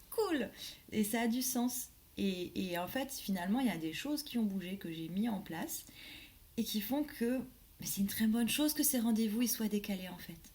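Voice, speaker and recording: A woman's fairly high, somewhat breathy voice at a moderate pace, with lively intonation and long, frequent pauses. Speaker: life coach and medium. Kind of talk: casual vlog monologue. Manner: hesitant, many fillers.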